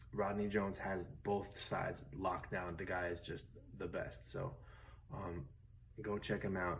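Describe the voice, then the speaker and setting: A man talks at a fairly slow pace in a very deep, low pitch with vocal fry. His pitch varies in an ordinary way, and the room echo is audible. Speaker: guitar teacher. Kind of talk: tutorial. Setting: at home, late at night. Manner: soft-spoken, quiet late at night; casual with many fillers.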